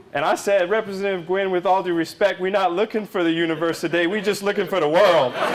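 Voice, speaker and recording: A man talks at a very fast pace and high pitch. His intonation is fairly even, and there is noticeable background noise. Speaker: politician. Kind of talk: campaign speech to a live crowd. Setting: live event, crowd. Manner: casual, folksy storytelling.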